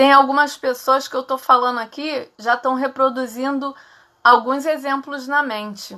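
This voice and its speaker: A woman projects a raised voice that is bright, sharp, and high-pitched. She speaks fairly slowly in a flat monotone, on a very clean recording with a silent background. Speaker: psychologist. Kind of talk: live stream talk. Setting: live stream.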